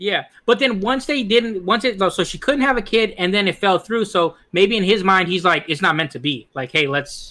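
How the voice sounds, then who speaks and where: A man's raised, projected voice, high in pitch with a bright, sharp tone and lively intonation, at a moderate pace with hardly any pauses, on a very clean recording with a silent background. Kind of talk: casual banter podcast.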